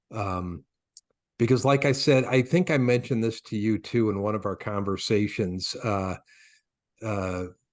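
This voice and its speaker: A man with an American accent and a fairly low pitch, moderate pace, long and frequent pauses, ordinary pitch variation, and a quiet background. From Michigan. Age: 60s. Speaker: retired radio executive, music station owner. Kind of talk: casual interview chat.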